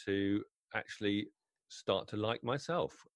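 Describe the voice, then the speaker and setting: In a British accent, a man speaks at a fairly low pitch with fairly even intonation, recorded dry and close with no echo. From UK. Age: 50s. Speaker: wedding DJ. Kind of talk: interview conversation.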